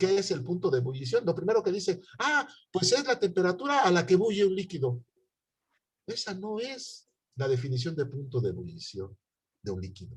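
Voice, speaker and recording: A man with a high-pitched voice speaks in very wide pitch swings, leaving long, frequent pauses. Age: 60s. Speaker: university chemistry professor. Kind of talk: online lecture.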